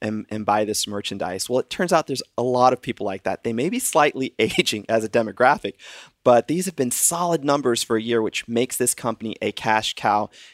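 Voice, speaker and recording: A man with a Southern US accent speaks at a fairly quick pace, his pitch medium with ordinary variation. The sound is dry and close, with no echo. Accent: faint Southern. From US South, eastern North Carolina. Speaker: stock market analyst. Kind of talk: casual chat. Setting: remote call.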